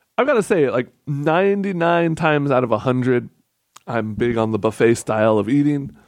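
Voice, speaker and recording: In a normal speaking voice, a man talks at a moderate pace and a fairly high pitch, with lively intonation and very even loudness. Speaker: podcast co-host. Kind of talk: casual chat. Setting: studio, live stream with chat.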